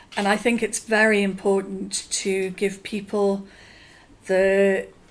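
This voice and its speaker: A woman speaks very slowly with monotone, flat intonation. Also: medium pitch for a woman, very even loudness. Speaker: communication researcher. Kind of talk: interview. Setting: conference.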